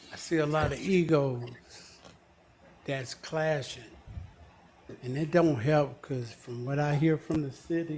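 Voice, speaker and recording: There are long, frequent pauses as a man with an American accent speaks in a somewhat breathy, fairly high voice. His intonation is fairly even, and audible room echo surrounds him. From US South, Georgia (College Park). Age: 60s. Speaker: resident giving public comment. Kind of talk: public comment at council meeting. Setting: city council meeting.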